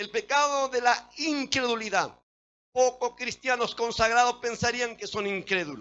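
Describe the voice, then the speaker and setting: Ordinary pitch variation runs through an extremely high voice. The man speaks at a fairly slow pace. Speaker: pastor. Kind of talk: sermon.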